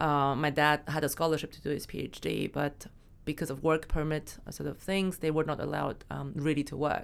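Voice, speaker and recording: A woman's very deep, low voice with vocal fry, monotone and flat, at a fairly quick pace. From Germany. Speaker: startup founder and CEO. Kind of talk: interview. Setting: studio.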